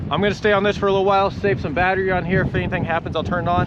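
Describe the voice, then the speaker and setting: A man talks loudly and at a very fast pace in a high pitch. Noticeable background noise runs behind him. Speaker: solo river canoeist vlogger. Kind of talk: outdoor vlog narration. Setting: outdoors on a river in a canoe. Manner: loud, raised over wind.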